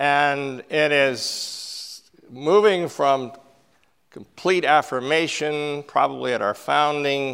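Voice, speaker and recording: A man with a fairly high pitch speaks at a very slow pace with ordinary pitch variation. The recording is very clean, with a silent background. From Canada, northern British Columbia (Fort St. John). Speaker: preacher. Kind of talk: sermon.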